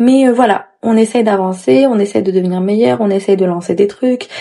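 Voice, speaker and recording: A woman talks in a medium pitch. The rise and fall of her voice is ordinary. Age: 20s. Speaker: podcast host. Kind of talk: casual solo podcast monologue.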